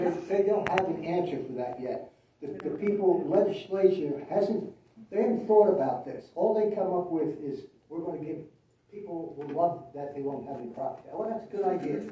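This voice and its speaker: A man talks fairly quickly in a high pitch with ordinary pitch variation and big swings in loudness. Room echo is audible and background noise is noticeable. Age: 80s+. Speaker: town council member. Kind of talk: public meeting discussion. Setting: town council meeting.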